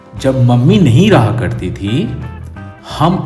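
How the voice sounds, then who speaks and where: The pitch swings very widely. Music can be heard in the background. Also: man. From Bihar, India. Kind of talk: personal storytelling to camera. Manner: casual, humorous.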